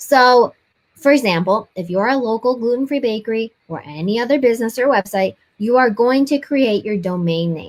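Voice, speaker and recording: Speaking at a moderate pace, a woman with a fairly high voice sounds animated, her intonation lively. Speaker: web design course instructor. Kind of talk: tutorial. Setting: recorded video lesson.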